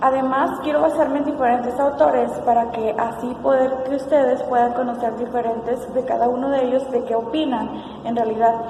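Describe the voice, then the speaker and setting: Amid noticeable background noise and audible room echo, a woman with a high voice speaks at a fairly quick pace with fairly even intonation. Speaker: university education student. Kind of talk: class assignment self-analysis. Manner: filler words, some hesitation.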